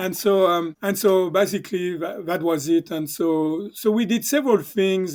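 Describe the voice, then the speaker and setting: In a very clean recording with a silent background, a man with a high pitch speaks at a moderate pace. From southern France. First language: French. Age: 60s. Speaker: chiropractor. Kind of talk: casual interview storytelling. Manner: halting, many fillers.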